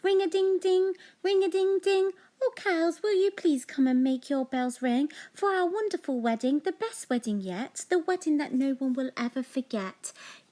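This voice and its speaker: A woman puts on a character voice at an extremely high pitch. It sounds squeaky and moves at a moderate pace. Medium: read story. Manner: warm, gentle.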